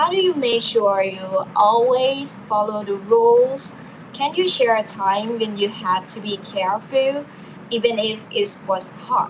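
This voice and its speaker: A woman with a Thai accent at a fairly high pitch, ordinary pitch variation and a fairly slow pace, over noticeable background noise. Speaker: university student, mock interviewer. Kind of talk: role-play job interview.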